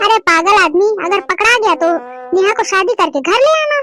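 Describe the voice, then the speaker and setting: A woman performs a squeaky, cartoonish character voice at an extremely high pitch. Her pitch swings very widely as she speaks at a moderate pace. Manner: blunt, teasing.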